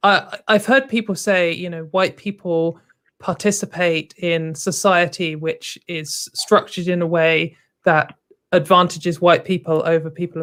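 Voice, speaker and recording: A woman speaks with an English accent at a fairly low pitch. Her pace is fairly slow. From England. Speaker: co-host. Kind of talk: call-in show discussion.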